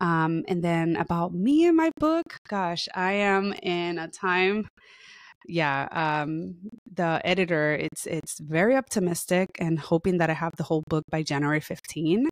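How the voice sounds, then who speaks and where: A woman with a Spanish accent at a fairly low pitch and fairly slow pace, with ordinary pitch variation, in a very clean recording with a silent background. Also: dry, close sound with no echo. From Puerto Rico. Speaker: therapist and author. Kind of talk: podcast interview.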